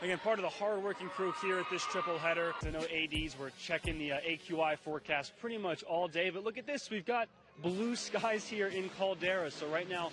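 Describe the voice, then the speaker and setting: Over background music, a man talks fairly quickly with hardly any pauses. His pitch is high, with ordinary variation. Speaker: local TV sports anchor and reporter.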